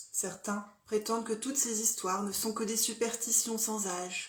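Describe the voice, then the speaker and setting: Somewhat breathy, a woman speaks at a very slow pace with fairly even intonation. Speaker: storyteller. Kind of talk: dark fairy tale storytelling, narrated horror story.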